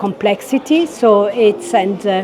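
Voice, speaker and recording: Over noticeable background noise, a woman speaks with an Italian accent. Her pace is fairly slow and her pitch is medium. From Italy. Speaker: head of a UN cultural office. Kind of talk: interview. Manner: halting, many fillers.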